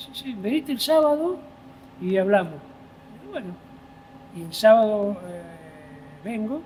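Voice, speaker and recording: Against noticeable background noise, a man with a high pitch speaks at a fairly slow pace with long, frequent pauses, very wide pitch swings and big swings in loudness. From Buenos Aires, Argentina (Palermo). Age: 60s. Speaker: volunteer firefighter. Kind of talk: interview conversation. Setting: fire station.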